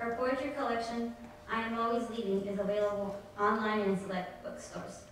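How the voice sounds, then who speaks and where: Strong room echo, a fairly quick pace and light background noise. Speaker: student host introducing reader. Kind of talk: formal introduction. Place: hall. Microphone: podium.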